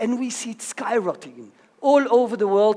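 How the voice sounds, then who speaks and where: The voice is loud. It moves at a moderate pace. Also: man. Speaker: conference speaker. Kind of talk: conference talk. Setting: stage with audience.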